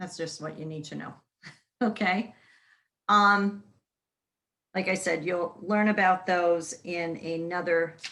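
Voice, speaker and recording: With a bright, sharp tone and a fairly low pitch, a woman talks at a very slow pace with fairly even intonation, big swings in loudness and long, frequent pauses. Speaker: college instructor. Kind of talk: lecture.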